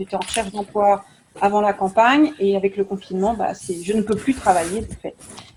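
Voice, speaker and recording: Noticeable background noise accompanies talking delivered at a moderate speed. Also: woman. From France, Nantes. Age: 40s. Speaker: youth activity leader and local candidate. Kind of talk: online panel interview.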